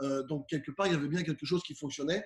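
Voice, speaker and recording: The voice is somewhat breathy and moves at a very fast pace. Its pitch varies in an ordinary way. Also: man. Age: 40s. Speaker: professional keynote speaker. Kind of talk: interview.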